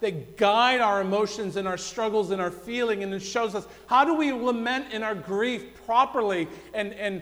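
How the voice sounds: What we hear is a natural reading voice.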